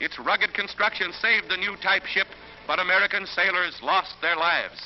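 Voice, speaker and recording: Against noticeable background noise, a man speaks at a moderate pace in a high pitch with fairly even intonation. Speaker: newsreel narrator. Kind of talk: newsreel narration.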